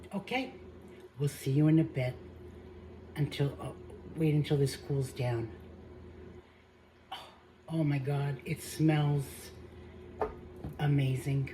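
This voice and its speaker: A woman speaks at a fairly slow pace with a very deep, low pitch, a somewhat breathy quality, fairly even intonation, and long, frequent pauses. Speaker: home cooking channel host. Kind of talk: cooking tutorial. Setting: home kitchen. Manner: hesitant, with fillers; soft-spoken.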